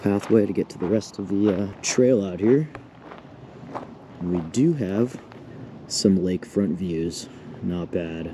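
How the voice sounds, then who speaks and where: A man's fairly low voice at a fairly slow pace, with long, frequent pauses, big swings in loudness, ordinary pitch variation and noticeable background noise. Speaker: vlogger. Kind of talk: casual vlog narration. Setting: outdoors at campsite. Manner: quiet, keeping voice down.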